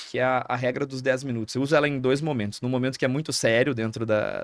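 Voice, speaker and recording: A man with a southern Brazilian accent talks at a very fast pace and medium pitch with fairly even intonation, in a dry, close, very clean recording with a silent background and no echo. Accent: southern Brazilian (gaúcho) Portuguese. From Rio Grande do Sul, Brazil (interior). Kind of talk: podcast interview.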